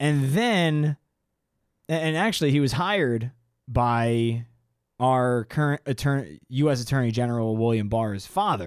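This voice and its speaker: A man with a medium-pitched voice talks at a fairly slow pace, his loudness very even and his intonation lively, on a very clean recording with a silent background. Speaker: podcast co-host. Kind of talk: casual chat.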